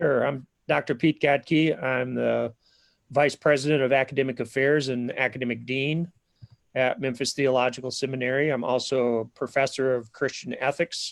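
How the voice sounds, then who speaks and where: A man with a Minnesotan accent speaks at medium pitch and a moderate pace, his intonation fairly even and the sound dry and close with no echo. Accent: Minnesota. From southern Minnesota. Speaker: seminary academic dean and ethics professor. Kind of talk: live-streamed info session interview. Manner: hesitant, many fillers.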